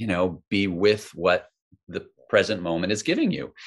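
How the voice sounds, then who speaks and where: Lively intonation marks an unremarkable speaking voice. The pace is fairly slow. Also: man. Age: 50s. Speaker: mindfulness author and teacher. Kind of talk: casual interview chat.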